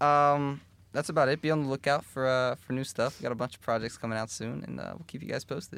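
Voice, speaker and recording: Speaking at a very fast pace, a man with a medium pitch and an American accent keeps his intonation fairly even. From Philadelphia, US. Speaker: musician. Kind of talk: casual chat.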